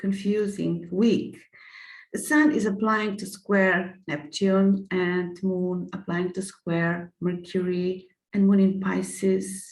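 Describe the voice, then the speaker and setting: A woman with a non-native accent talks at a very slow pace, medium pitch and fairly even intonation. Her somewhat breathy voice carries audible room echo. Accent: non-native English speaker. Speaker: astrologer. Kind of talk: lecture with slides. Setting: screen-shared online presentation. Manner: halting, many fillers.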